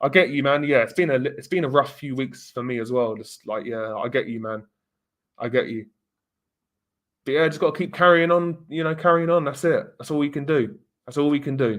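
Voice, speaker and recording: A man speaks in a southern English accent at a fairly quick pace. His pitch is fairly high, with ordinary variation. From England. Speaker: live streamer. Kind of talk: casual live-stream chat reading comments. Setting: live stream with webcam.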